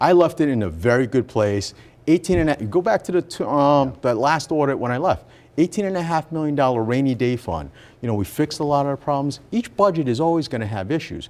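A man talks at a very fast pace with an American accent. His fairly high voice carries lively intonation. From Rhode Island, US. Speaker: politician, former mayor. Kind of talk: radio interview. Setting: studio.

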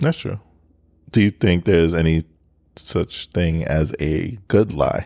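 Very slow, with long, frequent pauses, a man speaks in a very deep, low pitch and a dark, mellow tone, the sound dry and close with no echo. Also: ordinary pitch variation. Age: 30s. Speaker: podcast co-host. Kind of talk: casual chat.

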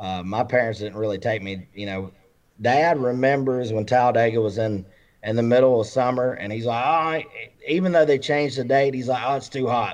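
A man's medium-pitched voice with an Alabama accent and ordinary pitch variation. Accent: US Southern (Alabama). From Alabama, Randolph County. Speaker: country music singer. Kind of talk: casual chat. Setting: video call.

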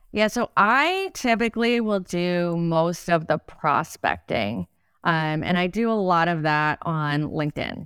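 A woman with a plain, everyday voice speaks at a fairly low pitch and a fairly slow pace, with lively intonation. The sound is dry and close with no echo, in a very clean recording with a silent background. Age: 40s. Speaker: entrepreneur, co-founder of a back office support business. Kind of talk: casual interview conversation.

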